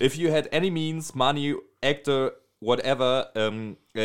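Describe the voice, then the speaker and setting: The speaker has a German accent and ordinary pitch variation. The recording is very clean, with a silent background. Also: man. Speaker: podcast host. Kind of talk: casual chat.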